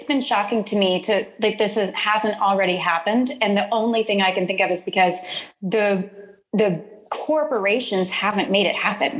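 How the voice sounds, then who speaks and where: A woman speaks at a moderate pace with ordinary pitch variation. Her loudness stays very even against noticeable background noise. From Texas, Houston area (Deer Park/Baytown). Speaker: podcast host, community development consultant. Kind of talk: casual interview chat.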